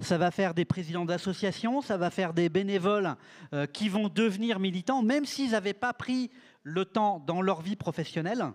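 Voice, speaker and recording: Pitched high for a man, his voice carries lively intonation at a fairly slow pace. The sound is dry and close with no echo, and his loudness stays very even. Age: 60s. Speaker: panel speaker, network director. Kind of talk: panel discussion. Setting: conference stage with audience.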